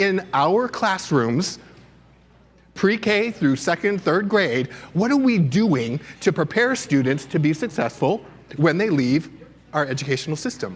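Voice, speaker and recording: Loud and passionate, a man speaks at a moderate pace in a high pitch with very wide pitch swings. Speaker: keynote speaker, education administrator. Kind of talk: keynote presentation. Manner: loud, passionate.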